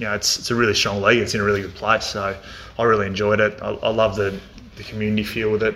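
The speaker has an Australian accent. Noticeable background noise and audible room echo are present. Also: man. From rural Victoria, Australia. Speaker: football coach and former AFL player. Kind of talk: casual interview. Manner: hesitant, many fillers.

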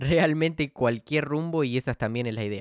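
Recorded very cleanly against a silent background, a man with a fairly high pitch talks at a moderate pace in a dry, close sound with no echo. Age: 20s. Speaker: podcast host. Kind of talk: solo podcast monologue. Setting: standing at home mic. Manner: hesitant, filler-heavy.

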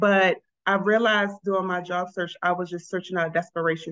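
A woman with an American accent and an ordinary speaking voice talks at a fairly quick pace. Her intonation is fairly even, and the sound is dry and close with no echo. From Baltimore, Maryland. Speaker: social worker, college advisor. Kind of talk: interview.

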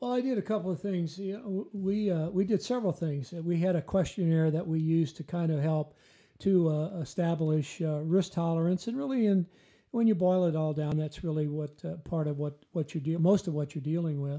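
With a Midwestern US accent, a man talks at a fairly quick pace. His voice is high, with ordinary pitch variation. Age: 60s. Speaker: retired financial advisor, co-host.

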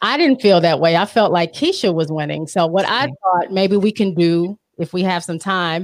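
An ordinary speaking voice belongs to a woman with a fairly low pitch. She keeps a moderate pace with ordinary pitch variation. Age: under 65. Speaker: podcaster. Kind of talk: casual chat. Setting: live-streamed video call.

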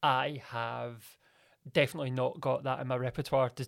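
A man with a Glaswegian accent speaks with fairly even intonation in a very clean recording with a silent background. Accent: Glaswegian Scottish. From Scotland, Glasgow. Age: 30s. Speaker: radio presenter and media producer. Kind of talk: casual interview.

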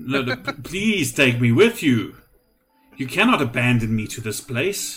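A man puts on a character voice at a medium pitch and moderate pace, with music playing in the background. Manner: anxious, pleading.

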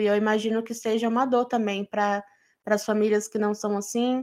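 Speaking at a moderate pace in a monotone, flat intonation, a woman with fairly high pitch is heard on a very clean recording with a silent background. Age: 20s. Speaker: podcast co-host. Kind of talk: casual chat.

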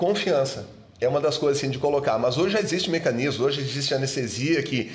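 In a room with audible echo, a man speaks at a fairly high pitch, somewhat breathy, with ordinary pitch variation. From southern Brazil, Rio Grande do Sul (Serra Gaúcha). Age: 50s. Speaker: dentist. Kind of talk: casual chat.

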